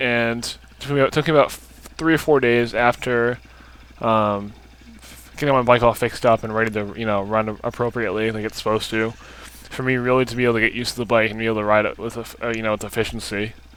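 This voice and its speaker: A man talks very fast at a medium pitch, his intonation flat and monotone. Noticeable background noise runs underneath. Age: 20s. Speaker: dirt bike vlogger. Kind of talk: casual video commentary. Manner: hesitant, many fillers.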